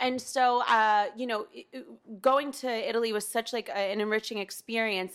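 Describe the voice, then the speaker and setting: A woman with an American accent has an ordinary speaking voice, pitched fairly high with fairly even intonation, in a very clean recording with a silent background. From US Northeast, New Haven, Connecticut. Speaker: actress. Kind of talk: casual interview chat.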